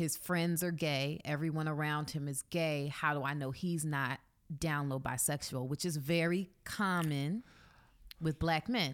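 A woman with a very deep, low pitch, fairly even intonation, and a fairly slow pace, in a very clean recording with a silent background. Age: 30s. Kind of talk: casual chat. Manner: laughs often.

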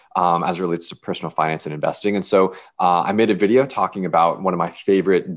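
Speaking with an American accent, a man uses a very deep, low voice and fairly even intonation. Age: 20s. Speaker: personal finance influencer. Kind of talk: podcast interview.

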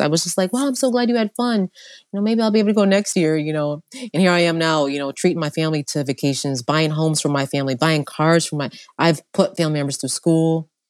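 Speaking at a very fast pace, a woman with a New York accent uses a fairly low pitch and lively intonation. Her tone is animated, and the sound is dry and close with no echo. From upstate New York. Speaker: entrepreneur. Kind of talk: casual chat.

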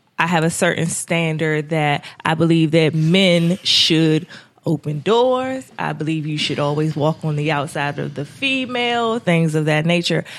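Music plays in the background as a woman talks at a fairly slow pace. Her very deep, low voice has lively intonation. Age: 30s. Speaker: podcast guest. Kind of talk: casual chat.

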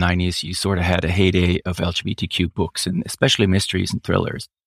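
In a very clean recording with a silent background and a dry, close sound with no echo, a man with a German accent talks very fast with a very deep, low pitch and monotone, flat intonation. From Switzerland. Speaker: novelist. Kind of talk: interview. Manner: halting.

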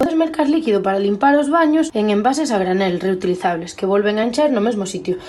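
A woman with a plain, everyday voice, fairly high pitch and lively intonation. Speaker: sustainability contributor. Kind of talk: tips segment.

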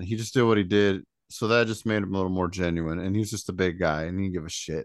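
Someone with an American accent talks at a very fast pace with ordinary pitch variation. The background is quiet. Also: man. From Indiana. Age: 40s. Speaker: podcast co-host. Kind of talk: casual chat.

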